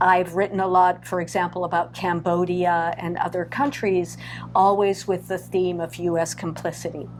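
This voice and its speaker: A woman with an American accent at a fairly slow pace, music in the background. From Southern California. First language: French. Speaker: playwright. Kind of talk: interview.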